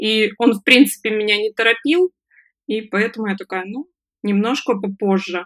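A woman with a plain, everyday voice and a fairly high pitch talks at a moderate pace with ordinary pitch variation, the sound dry and close with no echo. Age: 20s. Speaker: freelance online service manager, former fast-food manager. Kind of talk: interview, personal story.

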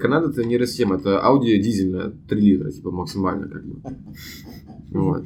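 With audible room echo, a man speaks at a fairly low pitch and a moderate pace. His pitch swings very widely, and he takes long, frequent pauses. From Russia, Saint Petersburg. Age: 20s. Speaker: international student and YouTube producer. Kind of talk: casual chat.

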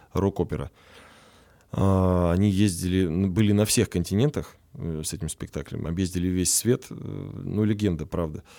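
Here a man has a dark, mellow tone and a very deep, low pitch. He speaks at a moderate pace with lively intonation, very cleanly recorded against a silent background. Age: 20s. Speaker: stage actor and composer. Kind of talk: casual interview.

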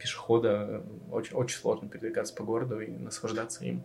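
A man talks in a fairly low pitch at a fairly quick pace. There is noticeable background noise. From Russian Far East, Vladivostok. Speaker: designer. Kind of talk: casual chat.

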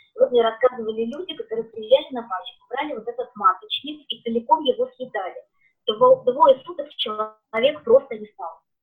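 A high-pitched woman speaks with lively intonation and big swings in loudness. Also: moderate pace. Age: 40s. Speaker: beekeeping products consultant. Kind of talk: live-stream interview.

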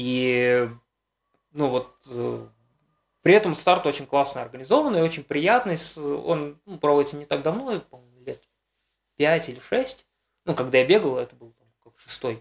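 Long, frequent pauses and big swings in loudness, with music playing in the background. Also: man, fairly high pitch for a man, lively intonation, moderate pace. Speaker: race organizer and designer. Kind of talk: casual interview. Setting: in Armenia at a running camp. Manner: halting, many fillers.

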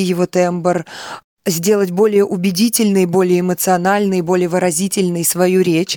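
In a very clean recording with a silent background, a woman with a plain, everyday voice talks at a moderate pace and medium pitch, the sound dry and close with no echo. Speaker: singer and voice yoga instructor. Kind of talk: guided breathing exercise.

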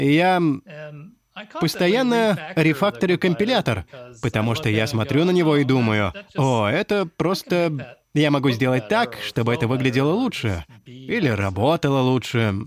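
A man with an English accent talks at a fairly high pitch with very wide pitch swings. His pace is fairly slow. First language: English (speaking Russian). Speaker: programming language creator. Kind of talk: interview.

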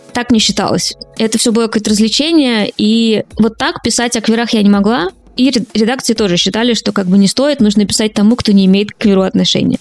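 The speech moves at a fairly quick pace with ordinary pitch variation. There is noticeable background noise. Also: woman. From Russia, small town by an unfinished nuclear plant. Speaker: journalist and podcaster. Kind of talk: interview.

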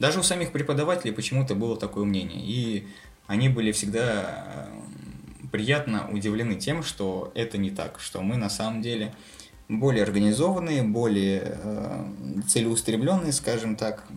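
This man speaks at a moderate pace with a medium pitch and lively intonation. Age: 20s. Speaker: military doctor. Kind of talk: casual chat. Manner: halting.

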